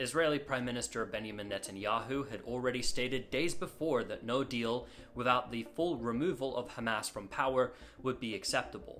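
A man talks at a moderate pace with ordinary pitch variation. Light background noise is present. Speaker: news explainer host. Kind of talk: news commentary. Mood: serious, critical. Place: home room.

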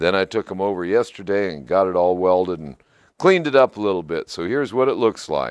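Moderate pace and lively intonation on a very clean recording with a silent background. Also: man.

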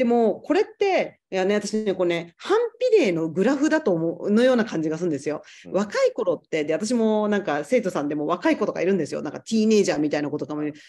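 Her dark, mellow tone swings very widely in pitch as the woman speaks at a very fast pace against a quiet background. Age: 40s. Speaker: yoga teacher. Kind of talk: casual chat. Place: home room. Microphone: video call.

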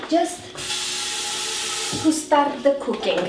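Behind her there is noticeable background noise. Her delivery, a woman's, is fairly slow. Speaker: cooking show host. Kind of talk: tutorial. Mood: cheerful, animated. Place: kitchen.

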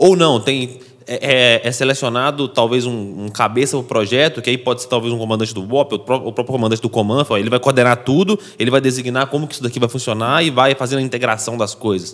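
A medium-pitched man talks at a very fast pace with hardly any pauses and ordinary pitch variation. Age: 20s. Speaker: podcast co-host, teacher. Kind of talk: interview.

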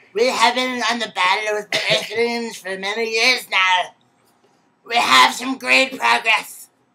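Someone speaks slowly in a put-on character voice with a fairly high pitch. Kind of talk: kids' comic sketch acting. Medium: comedy sketch. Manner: boastful, threatening, then panicked shouting.

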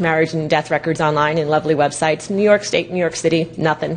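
The speaker is a woman with a fairly low pitch. She talks at a very fast pace. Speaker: presenter. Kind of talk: lecture. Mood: wry, humorous. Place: hall.

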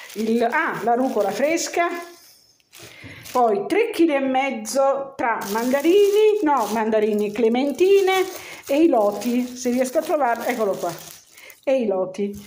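A woman at a high pitch speaks at a fairly slow pace with long, frequent pauses and very wide pitch swings over light background noise. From Milan, Italy. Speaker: home cooking video maker. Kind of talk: casual talk to camera. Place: home room. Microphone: phone near.

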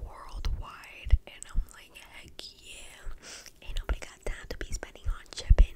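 A woman whispering at a fairly slow pace over loud background noise. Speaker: haul vlogger. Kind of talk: casual vlog chat. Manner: close-mic ASMR whisper. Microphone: studio mic.

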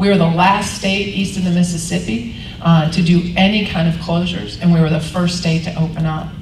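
The speaker talks at a fairly quick pace with hardly any pauses and fairly even intonation. Audible room echo and light background noise sit behind the voice. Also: woman, fairly low pitch for a woman. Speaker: politician. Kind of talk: luncheon speech and Q&A. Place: hall.

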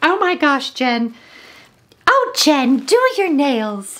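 A woman puts on a character voice pitched high. She speaks at a very slow pace. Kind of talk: casual vlog chat. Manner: cartoon voice, urging. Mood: excited, laughing at herself.

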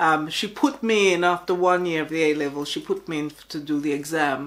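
A woman is speaking. She keeps a moderate pace. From Jamaica. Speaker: teacher. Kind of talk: documentary interview. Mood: reflective, calm. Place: home room.

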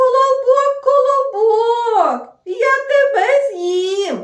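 This soft-spoken, put-on character voice sits at an extremely high pitch and moves at a very slow pace, with a slight echo. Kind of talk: storytelling to young children. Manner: calm.

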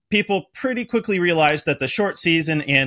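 Against a quiet background, a man talks at a fairly quick pace with a bright, sharp tone and ordinary pitch variation. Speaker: podcast host. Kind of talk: podcast introduction. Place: home room.

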